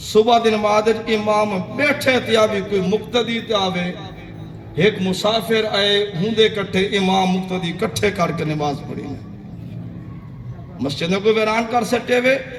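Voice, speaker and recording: A man's high-pitched voice sits over noticeable background noise. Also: ordinary pitch variation. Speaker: Islamic scholar / preacher. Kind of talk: religious sermon narrating an Islamic story to an audience.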